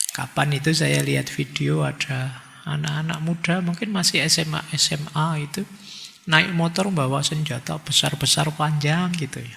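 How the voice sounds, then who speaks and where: A man with a fairly high pitch keeps his intonation fairly even while noticeable background noise plays behind him. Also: moderate pace. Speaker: philosophy lecturer. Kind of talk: lecture. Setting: hall with audience, microphone. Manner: casual.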